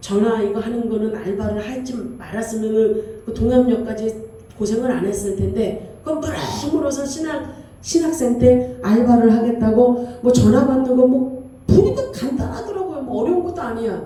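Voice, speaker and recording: Her high pitch and ordinary pitch variation come at a moderate pace, as a woman speaks with audible room echo and noticeable background noise. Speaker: pastor. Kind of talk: sermon. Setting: church. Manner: authoritative.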